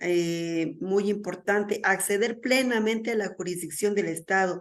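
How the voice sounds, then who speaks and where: A woman speaks at a medium pitch with ordinary pitch variation and a fairly slow pace. Audible room echo surrounds her voice. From Mexico. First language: Mazahua (speaking Spanish). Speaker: conference speaker. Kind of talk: lecture.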